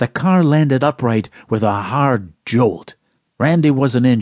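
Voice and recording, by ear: Reading aloud in a natural voice with ordinary pitch variation, the speaker is heard against a quiet background.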